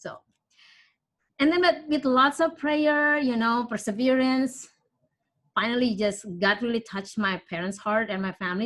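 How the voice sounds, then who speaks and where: A woman with an Indonesian accent speaks at a moderate pace with lively intonation and a fairly high pitch. The recording is very clean, with a silent background. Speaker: parishioner sharing her story. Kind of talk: personal testimony. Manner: halting.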